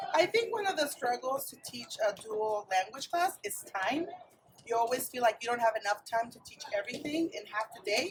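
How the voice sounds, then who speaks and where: Speech unfolds at a moderate pace. It comes in a Spanish accent. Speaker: dual immersion teacher. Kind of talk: interview. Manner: hesitant.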